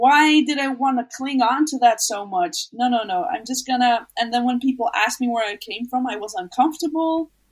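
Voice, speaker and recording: Fairly quick, with hardly any pauses, a woman's high-pitched voice with ordinary pitch variation. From Netherlands. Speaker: documentary subject. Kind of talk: interview.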